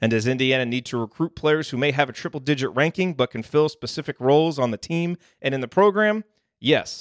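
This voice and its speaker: A man speaks in an ordinary speaking voice, fairly high-pitched, with ordinary pitch variation and a fairly quick pace. The sound is dry and close with no echo, over a quiet background. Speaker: radio host. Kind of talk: casual sports talk show.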